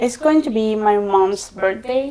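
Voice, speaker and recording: This woman has a strong Salvadoran accent. Her pitch sits fairly high. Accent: thick Salvadoran Spanish. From El Salvador. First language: Spanish. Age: 20s. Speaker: podcast guest. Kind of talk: casual chat.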